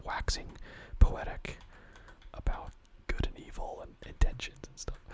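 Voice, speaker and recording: A man whispering over noticeable background noise. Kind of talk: ASMR whispered ramble while gaming. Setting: late-night home recording with keyboard and mouse sounds. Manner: soft-spoken, whispered, rambling, hesitant.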